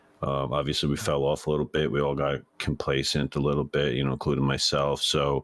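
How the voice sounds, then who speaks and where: With hardly any pauses, a man speaks at a fairly quick pace in a very deep, low pitch, his intonation monotone and flat and his loudness very even, over noticeable background noise. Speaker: esports coach. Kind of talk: interview. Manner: hesitant, many fillers.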